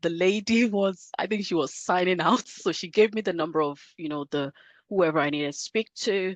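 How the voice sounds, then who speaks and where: A woman with a Nigerian accent speaks at a moderate pace and a medium pitch. Her pitch variation is ordinary, and the background is quiet. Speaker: career coach. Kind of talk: podcast interview.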